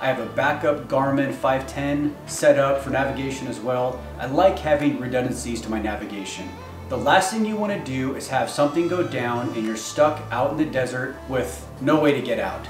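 Over clear music in the background, a man speaks at a moderate pace with ordinary pitch variation and hardly any pauses. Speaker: product reviewer. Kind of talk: tutorial. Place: home room.

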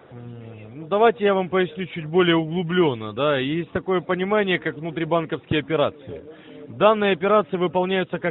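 Light background noise sits under a man speaking at a moderate pace with lively intonation, the sound dry with no echo. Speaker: phone scammer posing as security officer. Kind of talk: scam phone call. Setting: phone call. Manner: formal. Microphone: phone line.

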